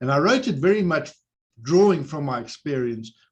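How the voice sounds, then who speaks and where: The man's voice is somewhat breathy. He speaks at a fairly quick pace. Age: 60s. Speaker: psychologist supporting whistleblowers. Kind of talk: webinar panel discussion.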